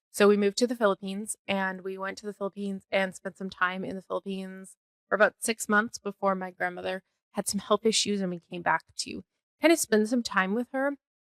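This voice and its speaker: Speaking at a fairly quick pace with a slight Canadian accent, a woman keeps a medium pitch and fairly even intonation while her loudness swings a lot, in a dry, close sound with no echo. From Canada (Calgary, Alberta). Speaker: podcast host, bookkeeper and fractional CFO. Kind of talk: casual personal podcast monologue. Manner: casual, chatty with fillers.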